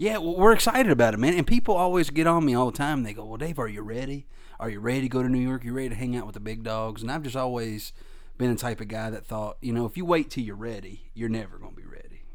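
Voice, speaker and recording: Talking at a very fast pace with an American accent, a man swings widely in loudness amid audible room echo. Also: medium pitch for a man, ordinary pitch variation. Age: 20s. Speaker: stand-up comedian. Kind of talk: casual interview. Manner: animated.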